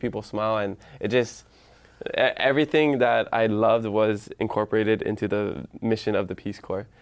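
A man speaks with fairly low pitch at a moderate pace. The background is quiet. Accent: Hawaiian. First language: Hawaiian. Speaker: social media influencer, podcaster. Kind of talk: casual interview.

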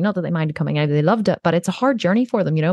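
A woman talks at a fairly low pitch. The sound is dry and close, with no echo. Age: 40s. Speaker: entrepreneur. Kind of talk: interview.

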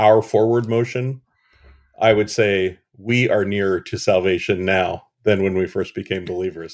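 A fairly low-pitched man with an American accent and a plain, everyday voice, at a moderate pace, in a very clean recording with a silent background. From Western Pennsylvania. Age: middle-aged. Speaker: pastor. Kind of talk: casual chat.

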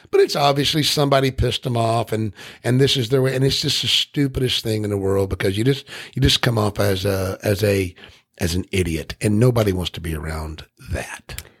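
In a dry, close sound with no echo, a man with a fairly low pitch talks at a fairly quick pace in an animated tone, somewhat breathy and with lively intonation. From Tennessee. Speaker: podcast host. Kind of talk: casual interview chat.

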